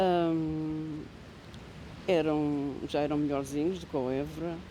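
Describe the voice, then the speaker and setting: A woman with a Lisbon accent, very deep, low pitch and a dark, mellow tone, fairly even intonation, and audible room echo. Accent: European Portuguese, Lisbon area. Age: 60s. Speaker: interviewee in a student documentary, former commuter. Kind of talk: interview testimony, reminiscing. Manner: halting, with hesitations and self-corrections.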